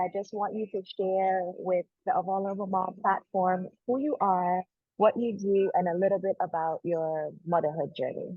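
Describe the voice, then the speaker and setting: A woman with an unremarkable speaking voice, medium pitch, fairly even intonation, moderate pace and hardly any pauses. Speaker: podcast host. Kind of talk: interview question.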